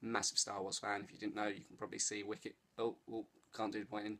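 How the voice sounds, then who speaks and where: With an English accent, a man speaks at a fairly low pitch. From England. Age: 30s. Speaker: vlogger. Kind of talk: casual vlog. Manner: animated.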